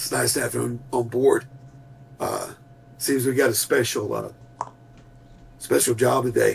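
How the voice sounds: In a put-on character voice that is wheezy and raspy, the speaker goes at a moderate pace with long, frequent pauses. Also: man, medium pitch for a man.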